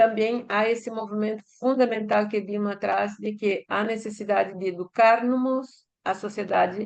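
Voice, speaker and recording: Against a quiet background, a woman with a fairly high pitch speaks at a fairly slow pace in a flat monotone. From Brazil. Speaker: academic panelist. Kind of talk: panel talk. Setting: conference panel, livestreamed. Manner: halting, many hesitations.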